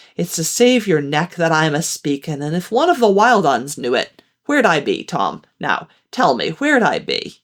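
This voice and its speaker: A woman uses a put-on character voice with a fairly low pitch in a very clean recording with a silent background. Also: moderate pace. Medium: read story. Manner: coaxing, folksy.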